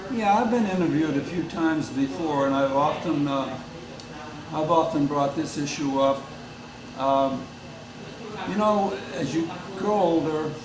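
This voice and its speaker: At a fairly slow pace, a man speaks amid noticeable background noise. Audible room echo surrounds his voice. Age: 80s+. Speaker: long-distance kayaker. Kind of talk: interview. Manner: halting, many fillers.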